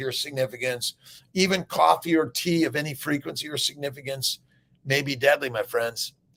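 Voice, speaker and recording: Intonation is lively throughout. The pace is fairly quick. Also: man. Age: 60s. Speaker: doctor. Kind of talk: casual chat. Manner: animated; halting.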